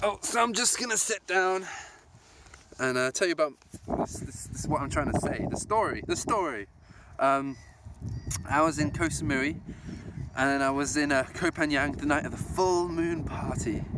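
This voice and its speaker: With lively intonation and long, frequent pauses, a man speaks at a moderate pace and a fairly high pitch. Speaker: vlogger. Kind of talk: casual vlog monologue. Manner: animated, enthusiastic; rambling with fillers and restarts.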